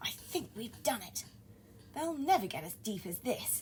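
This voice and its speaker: A woman puts on a character voice, pitched fairly high. She speaks at a moderate pace over clear background noise. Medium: read story.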